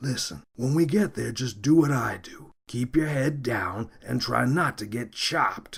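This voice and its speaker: Growling in a put-on character voice, the speaker moves at a moderate pace with lively intonation and big swings in loudness. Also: man, medium pitch for a man. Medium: read story. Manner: dry, sardonic.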